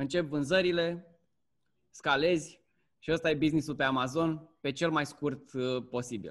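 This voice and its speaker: A man with a fairly high pitch speaks at a fairly slow pace, with fairly even intonation and long, frequent pauses. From Romania. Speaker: Amazon seller and course instructor. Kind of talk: casual interview chat.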